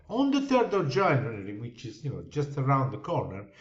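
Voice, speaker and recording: There is audible room echo as a man's voice swings very widely in pitch. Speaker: crypto investment promoter. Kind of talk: sales pitch.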